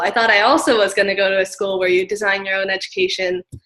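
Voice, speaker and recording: A woman with an American accent speaks at a medium pitch and a fairly quick pace in a plain, everyday voice. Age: 20s. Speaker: graduate student. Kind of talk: interview. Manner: many filler words.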